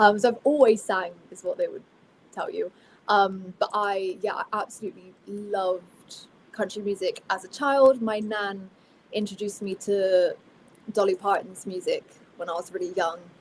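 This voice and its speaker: At a moderate pace, a woman with a Somerset accent speaks at medium pitch with fairly even intonation but big swings in loudness. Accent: Somerset accent with a twang. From Somerset, south-west England (Bristol). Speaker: country singer. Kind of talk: casual interview chat.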